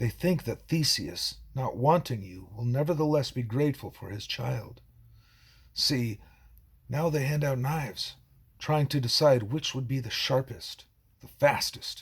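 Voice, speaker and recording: A man's put-on character voice at medium pitch and a moderate pace, on a very clean recording with a silent background. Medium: read story. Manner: slow, measured, ominous.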